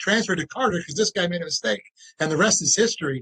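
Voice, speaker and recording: A man with an American accent speaks in a high voice with ordinary pitch variation, his tone bright and sharp, the sound dry and close with no echo. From US Midwest, St. Louis, Missouri. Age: 50s. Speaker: financial advisor. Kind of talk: interview.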